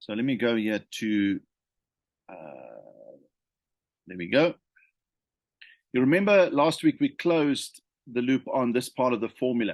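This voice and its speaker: A man with a medium-pitched voice talks at a fairly slow pace with long, frequent pauses and big swings in loudness, recorded dry and close with no echo against a quiet background. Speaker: leadership consultant. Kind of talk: unscripted talk to camera. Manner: hesitant, many fillers and repetitions.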